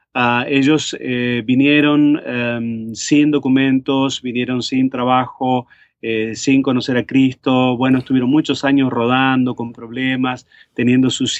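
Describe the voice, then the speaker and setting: A man with a medium pitch talks fairly slowly, his intonation monotone and flat. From Uruguay, Montevideo. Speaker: pastor. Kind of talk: interview. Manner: hesitant with many fillers.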